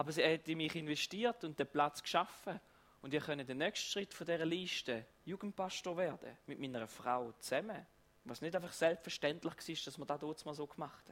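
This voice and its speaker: A man with an ordinary speaking voice talks at a fairly high pitch and moderate pace, with ordinary pitch variation and big swings in loudness. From eastern Switzerland. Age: 30s. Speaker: pastor. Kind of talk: sermon.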